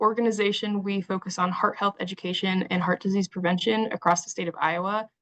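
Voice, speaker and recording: A woman speaks at medium pitch and a fairly quick pace. Her intonation is monotone and flat, and the sound is dry and close with no echo. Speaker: webinar host. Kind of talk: introduction. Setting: online webinar. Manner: halting.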